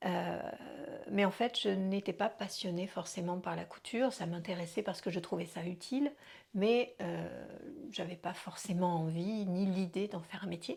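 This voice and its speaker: On a very clean recording with a silent background, a woman speaks at a fairly slow pace with vocal fry and ordinary pitch variation. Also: medium pitch for a woman. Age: 50s. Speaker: dance and life coach, vlogger. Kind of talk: personal vlog monologue. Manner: conversational with hesitations.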